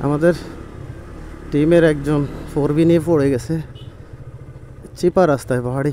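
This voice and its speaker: Against noticeable background noise, a man talks in a fairly high pitch with fairly even intonation. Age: 30s. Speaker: travel vlogger. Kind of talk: vlog narration.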